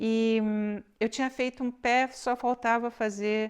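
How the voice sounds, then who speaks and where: The woman talks very slowly, and the background is quiet. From Brazil. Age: 60s. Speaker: knitting podcaster. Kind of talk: casual chat. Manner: halting.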